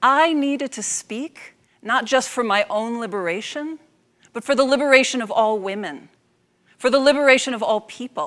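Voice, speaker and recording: Against a quiet background, a woman speaks at a high pitch in an animated tone. Her loudness swings widely. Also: ordinary pitch variation. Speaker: public speaking coach. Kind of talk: spoken word storytelling, a passionate motivational talk. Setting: stage with audience. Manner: animated, emphatic; rhythmic, repetitive phrasing, deliberate. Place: stage. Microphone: lapel.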